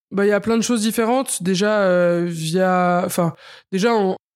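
This woman has a plain, everyday voice at a medium pitch, with fairly even intonation and a moderate pace. The recording is very clean, with a silent background. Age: 30s. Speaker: chef. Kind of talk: interview.

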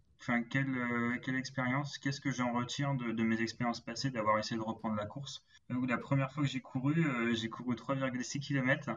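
Monotone, flat intonation runs through fairly slow speech. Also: man. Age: 20s. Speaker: logistics manager and amateur runner. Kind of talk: interview. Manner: halting.

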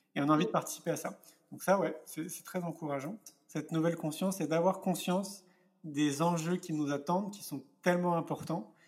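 Against a silent background in a very clean recording, a man with a high pitch talks at a moderate pace, his intonation fairly even but his loudness swinging widely. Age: 40s. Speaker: entrepreneur and speaker. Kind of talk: interview.

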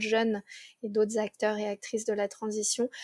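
A woman speaks at a moderate pace in a monotone, flat intonation. The sound is dry and close with no echo, on a very clean recording with a silent background. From Paris region, France. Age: 20s. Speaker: ecological transition consultant. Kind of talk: interview conversation.

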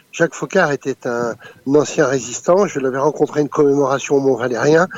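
This man has an ordinary speaking voice, fairly high in pitch, with fairly even intonation. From France. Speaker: former intelligence operative and author. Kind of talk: interview. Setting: phone call.

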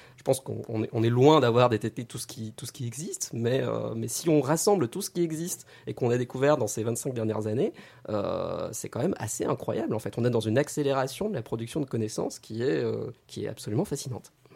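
A man's dark, mellow tone at medium pitch, with vocal fry, ordinary pitch variation and a fairly quick pace. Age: 30s. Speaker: astrophysicist and science YouTuber. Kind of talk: radio interview.

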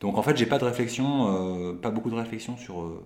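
This man talks fairly slowly at a medium pitch, with ordinary variation in his pitch. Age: 30s. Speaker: photographer. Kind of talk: casual interview.

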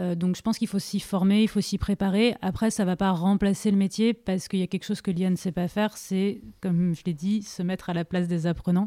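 Her dark, mellow tone sits at medium pitch, and the woman moves at a fairly quick pace with fairly even intonation. The recording is very clean with a silent background, dry and close with no echo. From Paris region, France. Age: 30s. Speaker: digital learning manager. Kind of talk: interview.

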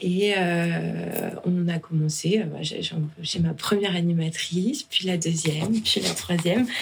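Against noticeable background noise, a woman's speech comes very slowly. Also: fairly low pitch for a woman, ordinary pitch variation, very even loudness. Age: 30s. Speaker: founder of a children's entertainment company. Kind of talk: casual interview.

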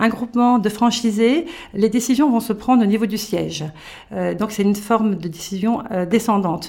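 Speech at a moderate speed, varying in pitch in an ordinary way, is heard with noticeable noise behind it. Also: woman, fairly high pitch for a woman. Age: 50s. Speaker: retail business owner. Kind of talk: interview. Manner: hesitant, with frequent fillers.

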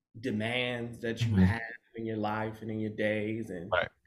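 A man talks at a medium pitch in a flat, monotone delivery, with audible echo from the room. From Michigan, US (Grand Rapids). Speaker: fashion stylist and designer. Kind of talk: casual interview chat.

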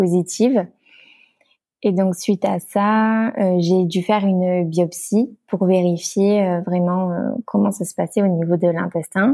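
Very slowly and with fairly even intonation, a woman of medium pitch speaks in a dark, mellow tone, the sound dry and close with no echo on a very clean recording with a silent background. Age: 20s. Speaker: pastry chef and entrepreneur. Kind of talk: casual interview. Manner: hesitant, many fillers.

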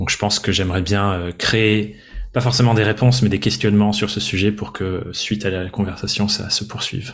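A plain, everyday voice from a man with a fairly low pitch, fairly even intonation and a moderate pace. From France, Dordogne. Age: 20s. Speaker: entrepreneur and podcaster. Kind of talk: interview conversation. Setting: seated at his desk.

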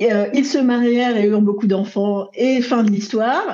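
A woman's voice, high in pitch. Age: 40s. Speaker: love coach. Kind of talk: interview conversation.

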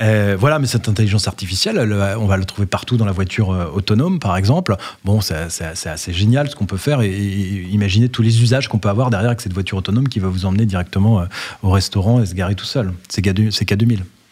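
A man talks at a very fast pace with a fairly low pitch. His voice is somewhat breathy, with ordinary pitch variation. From Brittany, France. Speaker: company founder and CEO. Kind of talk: interview. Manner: hesitant, frequent fillers and repetitions.

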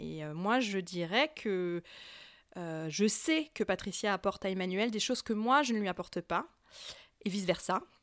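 A woman speaks at a medium pitch and a fairly slow pace, with lively intonation and long, frequent pauses. The recording is very clean, with a silent background. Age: 30s. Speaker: polyamorous woman sharing her experience. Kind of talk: interview testimony. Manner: hesitant with fillers.

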